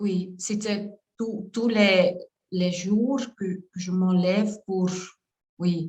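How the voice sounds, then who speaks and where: Speaking very slowly with long, frequent pauses, a woman with a Flemish accent has a somewhat breathy, medium-pitched voice and fairly even intonation. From Flanders, Belgium. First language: Dutch (Flemish) (speaking French). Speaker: coach. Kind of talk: testimony. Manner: halting, many hesitations.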